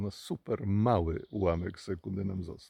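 A man's fairly low voice with a dark, mellow tone and ordinary pitch variation, dry and close with no echo against a quiet background. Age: 60s. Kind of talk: religious reflection talk.

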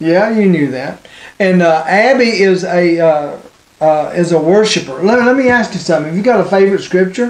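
Lively intonation at a moderate pace, with audible room echo. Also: man, high pitch for a man.

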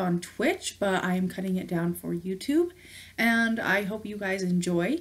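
The woman's voice is somewhat breathy. She keeps a moderate pace and ordinary pitch variation. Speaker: gaming streamer. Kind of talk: casual vlog chat. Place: home room.

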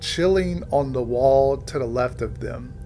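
A man's voice is heard over music playing faintly behind him. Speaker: video reviewer. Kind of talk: commentary. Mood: amused, enthusiastic. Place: home room.

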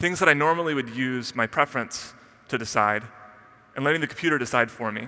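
A man at a very fast pace, bright, sharp tone, quiet background. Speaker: conference speaker. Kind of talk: keynote talk. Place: stage. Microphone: headset.

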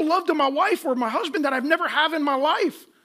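A fast-talking man with lively intonation and a bright, sharp tone

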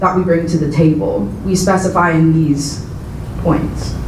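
Monotone, flat intonation comes through with audible room echo and light background noise. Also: woman. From Southern California. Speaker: activist; presenter. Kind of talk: panel talk to an audience. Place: hall.

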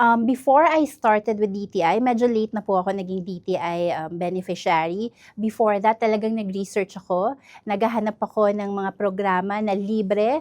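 In an unremarkable speaking voice, a woman talks at a medium pitch and a moderate pace with ordinary pitch variation, and the sound is dry and close with no echo. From northern Mindanao, Iligan City. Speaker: entrepreneur. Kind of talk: interview.

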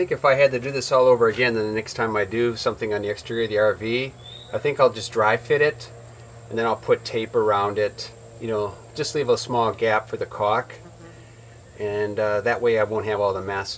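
Light background noise sits behind a man speaking at a fairly quick pace. His intonation stays fairly even. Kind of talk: casual DIY tutorial chat. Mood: relaxed, slightly self-deprecating. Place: open country.

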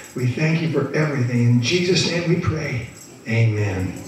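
A man's voice carries strong room echo, with faint music in the background. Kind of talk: prayer. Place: church.

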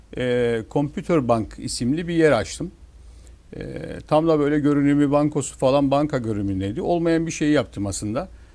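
This man has a normal speaking voice, fairly high in pitch, with ordinary pitch variation at a moderate pace. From Northern Cyprus, İskele; Northern Cyprus. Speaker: newspaper owner and businessman; newspaper owner. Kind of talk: TV talk show interview. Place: studio. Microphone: lapel.

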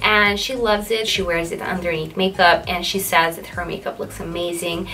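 A woman with a normal speaking voice talks at a moderate pace, her fairly low pitch held in fairly even intonation over light background noise. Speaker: skincare reviewer. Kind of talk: casual product review vlog.

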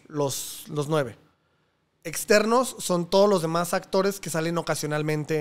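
A man's high-pitched voice at a moderate pace, with ordinary pitch variation. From Mexico. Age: 30s. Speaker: podcast host and comedy channel producer; podcast host. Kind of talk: casual interview chat. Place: home room. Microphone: studio mic.

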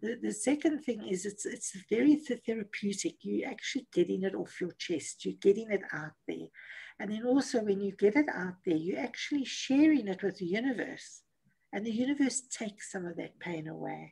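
A woman speaks with vocal fry and a dark, mellow tone. Her intonation is lively, her pace moderate, and the background quiet. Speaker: motivational speaker and coach; motivational speaker, coach. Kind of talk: interview. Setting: video call. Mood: warm, encouraging. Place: home room. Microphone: video call.

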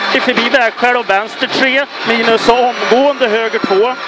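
The voice comes at a fairly slow pace over loud background noise, with a dry sound and no echo. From Sweden. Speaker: rally co-driver. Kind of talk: rally pace notes read aloud to the driver. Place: car. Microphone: headset.

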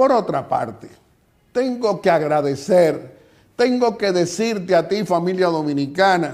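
A high-pitched man's voice with lively intonation against a quiet background. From Dominican Republic. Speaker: TV host and political commentator; TV host, political commentator. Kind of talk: TV interview and political commentary. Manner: formal. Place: office. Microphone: lapel.

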